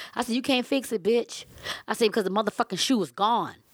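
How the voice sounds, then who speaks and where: A woman with a Southern US accent speaks in a fairly high voice. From Savannah, Georgia.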